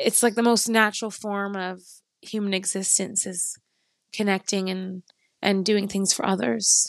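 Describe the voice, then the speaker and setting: Against a quiet background, a woman speaks with a Canadian accent at medium pitch. It is a plain, everyday voice. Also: fairly even intonation, fairly slow pace. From Canada, near Toronto. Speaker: pastry chef and farmer. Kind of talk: casual chat.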